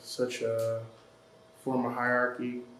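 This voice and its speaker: A man's medium-pitched, monotone, flat delivery amid noticeable background noise and audible room echo. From Detroit, Michigan, US. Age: 20s. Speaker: college student, photographer and curator. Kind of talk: casual interview.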